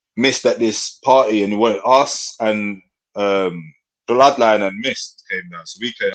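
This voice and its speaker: This is a man speaking. He has a London accent. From north London (Tottenham). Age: 30s. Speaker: rapper. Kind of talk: casual chat.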